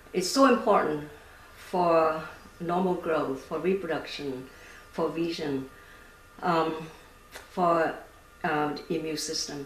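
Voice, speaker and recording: A woman with a Vietnamese accent speaks very slowly, with long, frequent pauses. Her pitch is fairly low with ordinary variation, and there's noticeable background noise. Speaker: startup founder and scientist. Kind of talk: interview. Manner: halting, many fillers.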